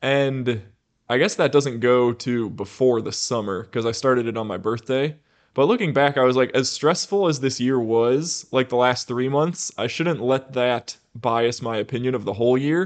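A man with a normal speaking voice talks at a medium pitch with ordinary pitch variation. The background is quiet. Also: moderate pace. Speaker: podcast host. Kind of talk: casual chat.

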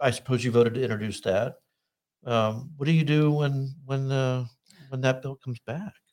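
Using a normal speaking voice, a man speaks at a moderate pace in a medium pitch with ordinary pitch variation. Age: 60s. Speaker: political talk show host. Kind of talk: interview.

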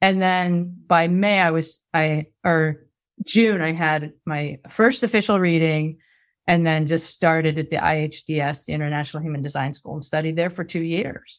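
On a very clean recording with a silent background, a woman with an ordinary speaking voice and a fairly low pitch talks at a moderate pace with fairly even intonation. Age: 50s. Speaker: former school teacher and human design coach. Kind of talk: casual interview.

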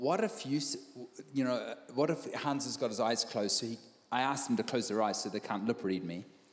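Fairly quick delivery from a man with a medium pitch and a New Zealand accent, ordinary pitch variation, and long, frequent pauses. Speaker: visiting preacher. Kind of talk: sermon with live interpretation. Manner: halting, repeats words.

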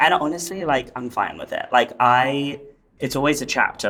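In an English accent, a man talks at moderate pace with a bright, sharp tone. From England, London area. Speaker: interior designer. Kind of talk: interview, casual chat.

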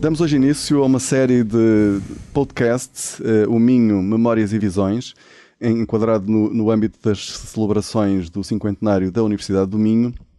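A man's fairly low voice, dark and mellow in tone, with ordinary pitch variation and a moderate pace. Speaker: economics professor, podcast co-host. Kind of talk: casual chat.

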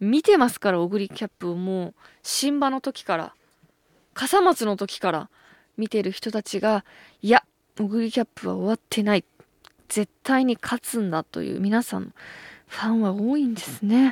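Speaking at a moderate pace and a fairly high pitch, a woman uses ordinary pitch variation and long, frequent pauses. The sound is dry and close with no echo, on a very clean recording with a silent background. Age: 30s. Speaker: radio host. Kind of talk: casual chat.

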